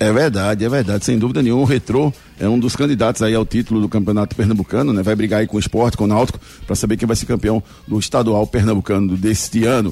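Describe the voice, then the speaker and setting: Over music in the background, a man talks at a very fast pace with very even loudness. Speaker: radio sports host. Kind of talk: live radio show presenting. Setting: radio studio, live broadcast. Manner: animated, upbeat.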